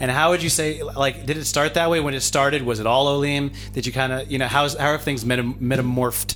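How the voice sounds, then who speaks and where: Music plays in the background. The speech moves at a fairly quick pace with hardly any pauses. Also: man, medium pitch for a man. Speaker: podcast host and a cappella singer. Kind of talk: casual podcast chat and interview. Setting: on location in Jerusalem, group interview. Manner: animated.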